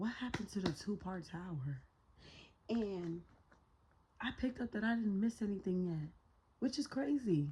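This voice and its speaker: A dark, mellow, somewhat breathy voice at a moderate pace, with lively intonation and long, frequent pauses. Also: woman, medium pitch for a woman. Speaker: tarot reader. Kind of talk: tarot reading monologue. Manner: casual, slangy.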